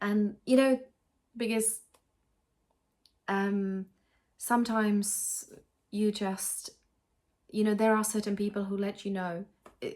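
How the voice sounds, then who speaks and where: A woman with a Czech accent speaks very slowly at medium pitch in monotone, flat intonation. She takes long, frequent pauses. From Czech Republic. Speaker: cross-stitch vlogger. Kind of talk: casual vlog chat. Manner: halting, many fillers and restarts.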